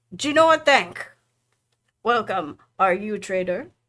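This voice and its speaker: A put-on character voice, female-sounding and resonant, at a medium pitch and moderate pace, in a very clean recording with a silent background. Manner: sonorous, resonant.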